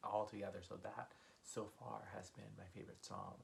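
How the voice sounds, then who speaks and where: A man whispers quietly. His pace is moderate. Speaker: music reaction YouTuber. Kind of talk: casual talk to camera. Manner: whispered, quiet.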